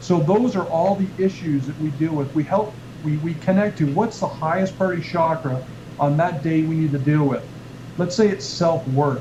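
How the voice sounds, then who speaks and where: A man at a fairly high pitch and moderate pace, over noticeable background noise. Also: ordinary pitch variation. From Canada. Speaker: chiropractor and author who teaches a healing technique. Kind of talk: explaining a health and wellness technique on a radio show. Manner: conversational, repeats words while explaining.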